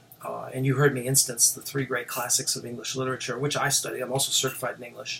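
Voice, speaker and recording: With noticeable background noise and audible room echo, a man of medium pitch speaks at a very fast pace. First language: French. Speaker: professor. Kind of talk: lecture.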